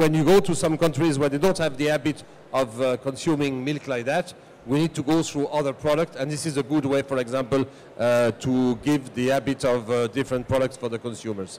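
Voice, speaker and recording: In a French accent, a man with a fairly high voice talks at a fairly quick pace with ordinary pitch variation. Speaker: food company communications director. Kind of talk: panel discussion. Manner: halting.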